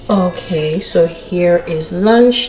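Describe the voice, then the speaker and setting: Fairly low speech from a woman, with noticeable noise behind it. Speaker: vlogger, mom. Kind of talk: casual vlog narration.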